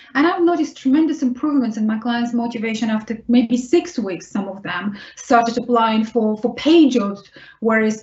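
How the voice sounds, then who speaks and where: In a Russian accent, a woman speaks fairly quickly with a fairly high pitch and ordinary pitch variation. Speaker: vocational rehabilitation consultant. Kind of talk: webinar Q&A answer.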